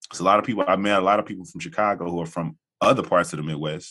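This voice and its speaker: A man talks at a very fast pace in a very deep, low voice. His tone is bright and sharp, with ordinary pitch variation. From US South, Jackson, Tennessee. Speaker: podcast host. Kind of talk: casual interview chat. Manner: halting, many fillers.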